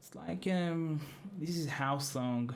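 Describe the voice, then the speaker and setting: A man speaks with a non-native accent. Room echo is audible. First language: not English. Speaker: music producer. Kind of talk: tutorial. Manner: halting.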